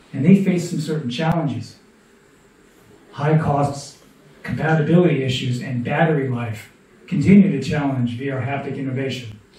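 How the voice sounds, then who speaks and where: There is audible echo in the room as a man speaks. His delivery is broken by long, frequent pauses. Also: ordinary pitch variation, moderate pace. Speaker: presenter. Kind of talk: presentation. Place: hall.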